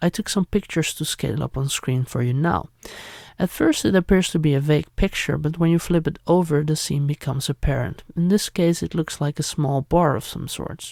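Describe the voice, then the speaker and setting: Spoken at a fairly quick pace with a Dutch accent, the voice comes through on a very clean recording with a silent background. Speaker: YouTuber, retro media collector. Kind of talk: unboxing and history narration.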